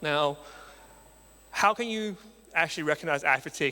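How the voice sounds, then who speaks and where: Speaking with an Australian accent, a man uses a bright, sharp tone at a fairly high pitch and a fairly quick pace. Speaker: marketing agency founder, conference speaker. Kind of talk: conference talk. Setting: stage with audience.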